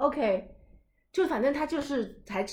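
A woman talks in an animated tone. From China. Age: 20s. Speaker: podcast host. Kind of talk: casual chat.

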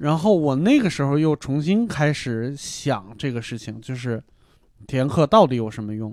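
A man with a plain, everyday voice, fairly high in pitch, lively intonation, moderate pace, on a very clean recording with a silent background. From Hebei. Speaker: comedian. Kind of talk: casual chat.

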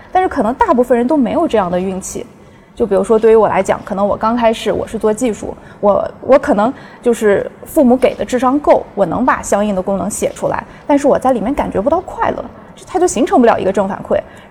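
A woman talks very fast in a fairly high voice. Her intonation is lively, and background noise is noticeable. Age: young. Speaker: academic partnerships staff. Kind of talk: casual chat.

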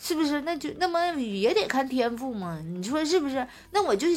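A woman's animated, high-pitched voice in a Northeastern Chinese accent, very wide pitch swings, a moderate pace, and noticeable background noise. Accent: Northeastern Mandarin. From Northeast China. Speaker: podcast host. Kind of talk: casual chat. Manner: animated, frequent laughter.

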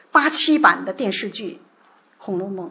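In a room with audible echo, a woman talks at a moderate pace with very wide pitch swings. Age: 50s. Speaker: literature lecturer. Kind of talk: lecture.

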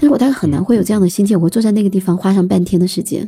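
A woman's medium-pitched voice with vocal fry, a dark, mellow tone, and lively intonation. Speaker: writer. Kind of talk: casual chat.

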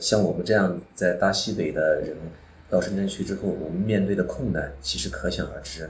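Somewhat breathy and very deep in pitch, a man speaks at a moderate pace with ordinary pitch variation, and the room echo is audible. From Xinjiang, northwest China. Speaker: former police detective and business executive. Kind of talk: personal life story monologue.

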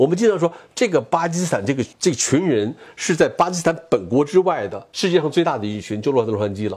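A man at a very fast pace, with very wide pitch swings and vocal fry. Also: fairly high pitch for a man. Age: 60s. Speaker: TV news cameraman. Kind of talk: interview. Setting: at home.

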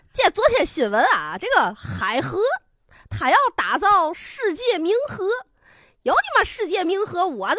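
Using a put-on character voice, a woman speaks at a fairly slow pace with an extremely high pitch and very wide pitch swings. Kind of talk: colloquial. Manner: ranting, complaining.

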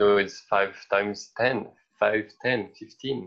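A man speaks with a French accent at a fairly slow pace. His pitch is fairly low and his intonation fairly even. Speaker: podcast co-host. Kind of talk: casual chat.

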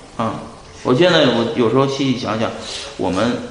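Audible room echo and noticeable background noise surround a man speaking at a medium pitch and a fairly quick pace. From China, Shanxi (Pingyao). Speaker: bitcoin investor. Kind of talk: interview.

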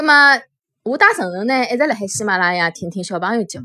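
A woman with a Shanghai accent. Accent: Shanghainese speaker. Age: 30s. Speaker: children's storytelling podcaster. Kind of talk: channel introduction monologue.

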